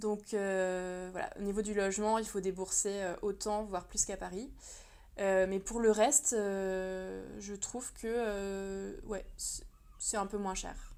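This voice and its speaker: A woman speaks very slowly at a medium pitch, her dark, mellow tone held in a monotone, flat intonation. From France. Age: 30s. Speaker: illustrator and translator. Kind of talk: podcast interview. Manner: hesitant, many fillers.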